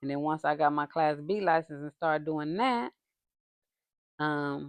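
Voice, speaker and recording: The speaker has an American accent and talks at a fairly slow pace. Pitch varies in an ordinary way. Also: woman, very deep, low pitch for a woman. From San Francisco Bay Area, California. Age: 60s. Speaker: podcast guest, mother of the host. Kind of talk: casual interview.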